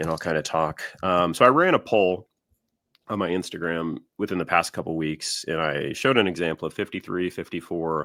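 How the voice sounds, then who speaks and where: A man's very deep, low voice with ordinary pitch variation at a moderate pace, in a very clean recording with a silent background. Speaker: podcast co-host, baseball card collector. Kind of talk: casual chat. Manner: slightly winded; hesitant, many fillers.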